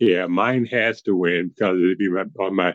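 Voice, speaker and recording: Recorded with a dry, close sound and no echo, a man speaks at a very deep, low pitch with ordinary pitch variation. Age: 60s. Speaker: podcast guest and blog contributor. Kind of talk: casual chat.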